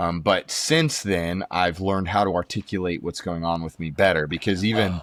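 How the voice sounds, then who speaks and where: This man has a very deep, low voice, speaking at a moderate pace with fairly even intonation and hardly any pauses. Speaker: podcast guest, podcaster and former minister. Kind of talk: casual chat. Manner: loud by nature; hesitant, many fillers.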